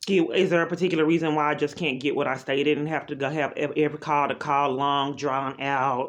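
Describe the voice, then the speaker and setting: A woman with a very deep, low pitch races along at a very fast pace in a monotone, flat delivery with hardly any pauses. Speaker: caller. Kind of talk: phone call complaint. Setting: phone call.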